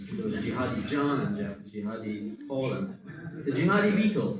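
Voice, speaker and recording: Moderate pace in an American accent. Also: man. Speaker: stand-up comedian. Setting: stage.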